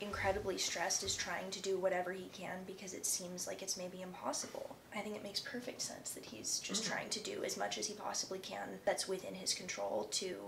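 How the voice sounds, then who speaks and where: Over noticeable background noise, a woman talks at a fairly quick pace with hardly any pauses. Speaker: reaction video co-host. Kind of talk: casual reaction commentary. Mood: thoughtful, lightly amused. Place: home room.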